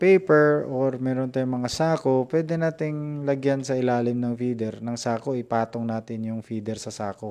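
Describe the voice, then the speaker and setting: Over a quiet background, a man talks at a fairly slow pace with hardly any pauses and ordinary pitch variation. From Visayas/Mindanao, Philippines. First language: Cebuano (Bisaya) (speaking Tagalog). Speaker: poultry farmer and vlogger. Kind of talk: live stream tutorial. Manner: halting, many fillers. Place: home room. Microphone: earbuds.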